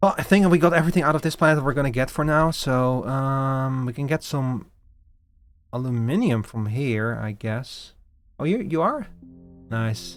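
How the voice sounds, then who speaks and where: A man with an unremarkable speaking voice talks at a moderate pace, medium in pitch with lively intonation. The recording is very clean, with a silent background. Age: 30s. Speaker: video game streamer. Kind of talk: casual gameplay livestream chat.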